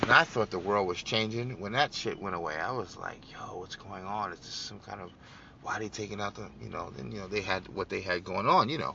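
This man has a fairly low pitch and an animated tone, with ordinary pitch variation. He talks at a fairly quick pace. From New York City, Brooklyn. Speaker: political podcast host. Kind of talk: political commentary monologue.

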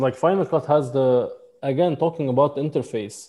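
A man's fairly high voice with a dark, mellow tone, ordinary pitch variation and a moderate pace. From Lebanon; mountain village in Lebanon. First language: Arabic. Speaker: photographer and videographer. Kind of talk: interview conversation.

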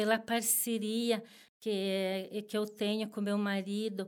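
This woman's pitch is fairly high. She speaks at a very slow pace. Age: 50s. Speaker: homemaker. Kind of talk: interview. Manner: halting, many repetitions and fillers.

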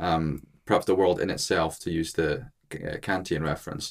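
A man with a Scottish accent. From Scotland, Edinburgh. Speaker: philosophy student. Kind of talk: casual discussion. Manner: halting, many fillers.

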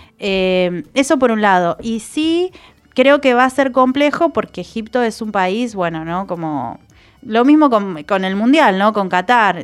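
In a very clean recording with a silent background, a woman talks at a fairly slow pace with fairly high pitch and very wide pitch swings. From Argentina, Chubut (Trelew, Patagonia). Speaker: environmental communication specialist, senate adviser. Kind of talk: radio interview. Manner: hesitant, many fillers.

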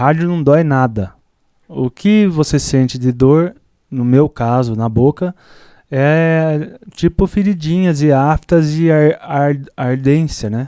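Recorded very cleanly against a silent background, a man speaks very slowly in a dark, mellow tone with a fairly high pitch and ordinary pitch variation. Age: 40s. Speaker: veterinarian and barbecue champion. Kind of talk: casual interview chat.

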